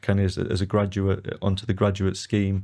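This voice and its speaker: A man's fairly low, dark, mellow voice at a fairly quick pace, on a very clean recording with a silent background. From northeast England. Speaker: real estate executive. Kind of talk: podcast interview.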